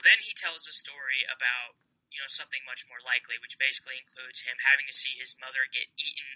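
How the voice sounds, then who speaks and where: A man's medium-pitched voice with an American accent, at a fairly quick pace, the sound dry and close with no echo. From Kansas, US Midwest. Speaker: fantasy sports writer. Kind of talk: casual chat.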